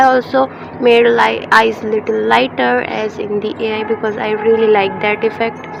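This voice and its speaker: A woman's moderate-paced speech comes through noticeable background noise. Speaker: digital artist. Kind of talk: tutorial. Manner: halting, many fillers.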